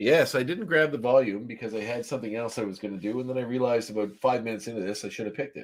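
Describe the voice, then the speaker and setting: A man with a Canadian East Coast accent, talking very fast. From Nova Scotia, Canada. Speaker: podcast co-host. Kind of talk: casual chat.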